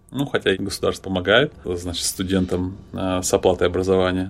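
Talking at a moderate pace, a man has an ordinary speaking voice with a fairly low pitch. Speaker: podcast co-host and university lecturer. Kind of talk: casual chat.

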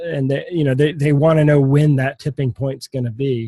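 A man speaks at a moderate pace in a fairly high, somewhat breathy voice with a dark, mellow tone. The sound is dry and close, with no echo. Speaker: podcast host. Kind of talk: casual interview chat.

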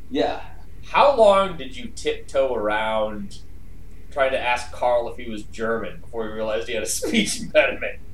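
With big swings in loudness, a man speaks in an animated tone at a moderate pace over noticeable background noise. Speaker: podcast host. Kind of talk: casual comedic chat. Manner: joking, animated.

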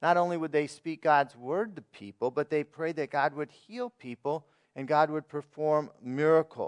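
A normal speaking voice moves at a moderate pace with ordinary pitch variation and hardly any pauses. The sound is dry and close with no echo, against a quiet background. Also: man, fairly high pitch for a man. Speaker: pastor. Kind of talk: sermon. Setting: church.

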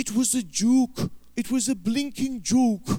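A man's put-on character voice with a Welsh accent, extremely high in pitch.

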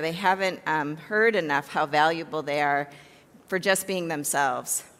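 At a moderate pace, a woman talks in an ordinary speaking voice, fairly low in pitch with ordinary pitch variation. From US Midwest, Chicago south suburbs. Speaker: therapist. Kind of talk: talk to church congregation.

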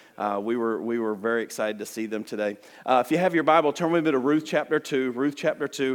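The speaker has a Southern US accent and talks at a very fast pace with ordinary pitch variation. The recording is very clean, with a silent background. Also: man. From US South, Alabama. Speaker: missionary. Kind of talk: sermon. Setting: church. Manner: fast talker.

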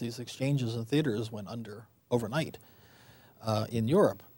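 The man talks at a fairly quick pace and medium pitch, with ordinary pitch variation. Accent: American. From Western Pennsylvania. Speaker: author and film historian. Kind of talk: interview. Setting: studio. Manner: hesitant, many fillers.

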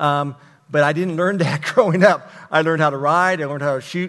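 A man with an American accent and an unremarkable speaking voice, at a fairly quick pace with ordinary pitch variation. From Texas. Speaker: pastor. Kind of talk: testimony.

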